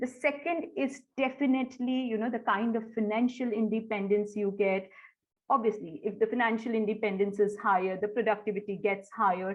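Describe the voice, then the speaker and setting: The speaker uses a normal speaking voice at a fairly quick pace. Pitch varies in an ordinary way. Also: woman, fairly high pitch for a woman. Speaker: corporate trainer. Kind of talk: webinar presentation.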